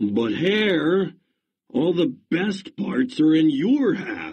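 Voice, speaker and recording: A man's put-on character voice, growling at a high pitch and a very slow pace. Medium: read story. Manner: slow, grumbling.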